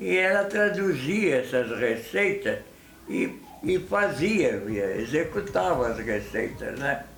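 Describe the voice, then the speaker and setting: A man talks very slowly in a fairly high voice, his pitch swinging very widely. Audible room echo and noticeable background noise are present. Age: 90s. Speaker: elderly family member interviewed. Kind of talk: interview.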